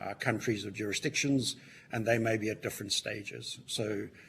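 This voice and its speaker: In a Southern African accent, a man speaks at a moderate pace with a fairly low pitch. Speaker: witness at a parliamentary inquiry, mining sector. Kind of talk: committee hearing testimony. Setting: public hearing.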